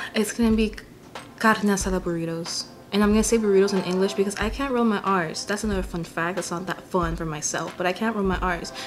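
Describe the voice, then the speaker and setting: A medium-pitched woman with an American accent at a very fast pace, fairly even intonation, and noticeable background noise. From California Central Valley. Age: 20s. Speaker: vlogger. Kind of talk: casual vlog monologue. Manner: casual, hesitant with fillers.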